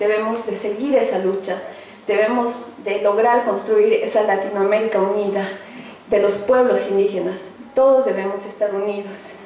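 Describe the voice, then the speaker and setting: Speaking at a moderate pace in a flat monotone, a woman with a medium-pitched voice is heard over light background noise with audible room echo. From Bolivia, Oruro; Bolivia. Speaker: activist and community radio host; community radio host. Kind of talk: speech. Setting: luncheon event with audience. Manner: halting. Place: hall.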